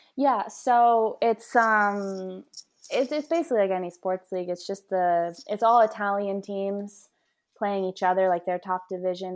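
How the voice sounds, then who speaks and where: A woman with a Mid-Atlantic US accent at a moderate pace, ordinary pitch variation, on a very clean recording with a silent background. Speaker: professional soccer player. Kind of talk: interview.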